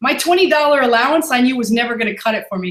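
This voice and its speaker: Woman with a high pitch, heard with audible room echo. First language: not English. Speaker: e-commerce seller. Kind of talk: interview. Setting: live online webinar.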